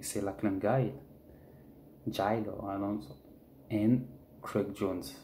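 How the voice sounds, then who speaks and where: With a French accent, a man talks in a dark, mellow tone and ordinary pitch variation. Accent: French, speaks bad English. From France. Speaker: jiu-jitsu fan vlogger. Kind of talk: casual monologue vlog. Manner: halting, repetitive; animated.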